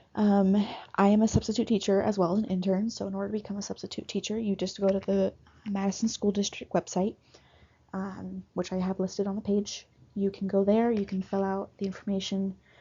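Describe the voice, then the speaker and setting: A woman's somewhat breathy, medium-pitched voice at a fairly quick pace, in a monotone, flat intonation. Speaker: university student intern. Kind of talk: class presentation. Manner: halting, with stuttering; many filler ums.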